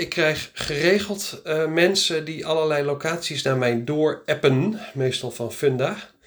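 A man talks fairly slowly, his intonation lively. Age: 40s. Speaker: practice start-up consultant. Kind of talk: solo podcast monologue. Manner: casual, hesitant with many fillers.

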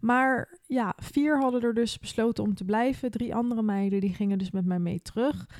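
An unremarkable speaking voice at a moderate pace, hardly any pauses, and ordinary pitch variation. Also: woman, fairly high pitch for a woman. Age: 20s. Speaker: podcast host. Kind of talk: casual chat.

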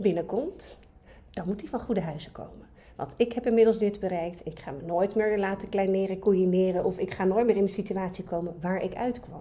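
This woman's voice is medium in pitch, somewhat breathy, with a dark, mellow tone. She speaks at a moderate pace with ordinary pitch variation. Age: 40s. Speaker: dating coach. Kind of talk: casual chat.

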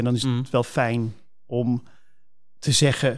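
Speaking at a moderate pace, a man comes through on a very clean recording with a silent background. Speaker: pastor. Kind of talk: casual chat.

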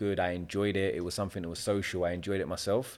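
In a South London accent, a man talks with a very deep, low pitch and flat, monotone intonation. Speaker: property developer. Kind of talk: casual chat. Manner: laid-back.

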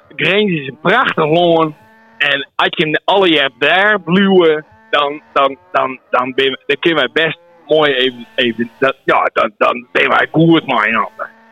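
A man at a very slow pace, fairly high in pitch with ordinary pitch variation, over noticeable background noise. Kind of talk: casual chat. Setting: phone call.

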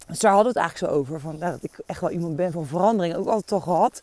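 Dark and mellow in tone, a woman's voice sits at a fairly low pitch. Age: 30s. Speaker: podcast host. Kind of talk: walking monologue. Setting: outdoors.

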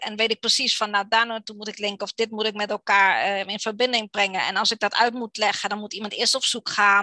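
A woman speaks at a fairly quick pace in a fairly high, bright and sharp voice, her intonation monotone and flat, with a dry, close sound and no echo. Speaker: copywriter and blogger. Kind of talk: interview. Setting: video call.

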